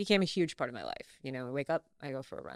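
A woman is speaking. Her pitch swings very widely. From US South, North Carolina. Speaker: actress. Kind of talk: casual chat.

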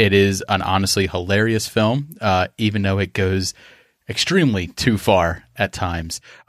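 A man with a normal speaking voice talks at a moderate pace and fairly low pitch, with ordinary pitch variation, on a very clean, dry, close recording with a silent background and no echo. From Philadelphia. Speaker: podcaster. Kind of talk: casual chat.

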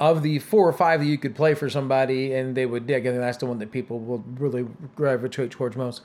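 This man has a normal speaking voice with a fairly high pitch. His intonation stays fairly even. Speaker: music fan, host's brother. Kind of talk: casual chat.

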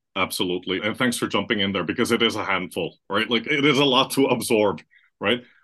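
At a very fast pace, a man speaks with a bright, sharp tone and ordinary pitch variation. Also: medium pitch for a man, quiet background. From Philippines. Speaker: marketing consultant. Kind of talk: interview.

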